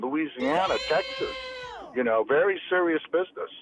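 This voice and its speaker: Recorded with a dry, close sound and no echo, a man speaks with an American accent. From San Francisco Bay Area, California. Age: 60s. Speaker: former cannabis dealer. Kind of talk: interview storytelling. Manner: animated.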